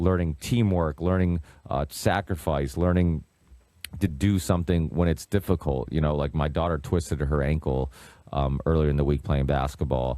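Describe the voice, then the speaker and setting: Very deep, low male voice with very even loudness and ordinary pitch variation. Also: moderate pace. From Massachusetts. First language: Portuguese. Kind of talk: casual chat. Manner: many fillers and restarts.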